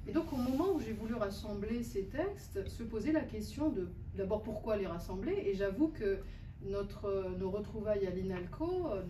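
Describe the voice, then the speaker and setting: Speaking at a moderate pace in a North African accent, a medium-pitched woman uses lively intonation over noticeable background noise and audible room echo. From Algeria, Algiers. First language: Berber (speaking French). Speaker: poet and translator. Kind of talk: author talk answering a question. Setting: bookshop event with audience. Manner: halting, many hesitations.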